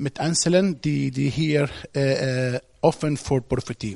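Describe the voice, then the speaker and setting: Speaking with an Arabic accent, a man shows ordinary pitch variation. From Egypt. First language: Arabic (speaking German). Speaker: guest preacher. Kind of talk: sermon. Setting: church service with congregation. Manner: halting.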